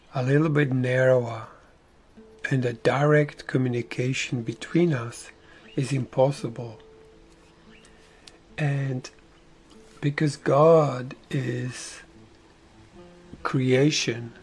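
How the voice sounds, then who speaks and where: A man with a Slovak accent speaks at a very slow pace and medium pitch, with fairly even intonation and long, frequent pauses. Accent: Slovakian. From Slovakia. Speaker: spiritual teacher. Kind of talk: spiritual talk. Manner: slow, unprepared, searching for words.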